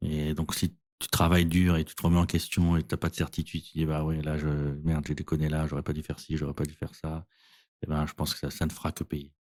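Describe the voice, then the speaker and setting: A man's very deep, low voice at a very fast pace, monotone and flat in intonation, on a very clean recording with a silent background and a dry, close sound with no echo. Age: 50s. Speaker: insurtech co-founder. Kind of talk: interview. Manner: hesitant, many fillers.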